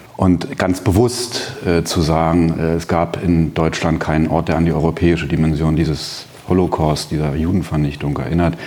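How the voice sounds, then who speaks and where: Over noticeable background noise, a man with a very deep, low pitch talks at a moderate pace with hardly any pauses. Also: ordinary pitch variation. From East Berlin, Germany. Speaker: memorial foundation director, historian. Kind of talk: panel discussion. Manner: hesitant, many fillers.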